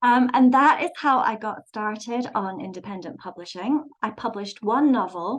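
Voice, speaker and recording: A woman with a fairly high pitch speaks at a moderate pace with lively intonation, hardly pausing at all. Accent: English. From London, England. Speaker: website designer and author. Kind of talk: presentation. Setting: video call. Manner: frequent filler words.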